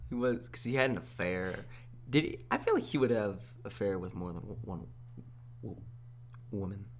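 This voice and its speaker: Speaking at a moderate pace with long, frequent pauses, a man uses a fairly low voice with vocal fry and lively intonation. His loudness swings widely, and the room echo is audible. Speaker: podcast co-host. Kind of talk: casual chat.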